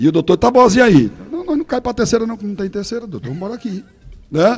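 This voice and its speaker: The man's pitch rises and falls across a very wide range. He speaks fairly quickly. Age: 60s. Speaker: radio broadcaster. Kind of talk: interview storytelling. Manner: animated.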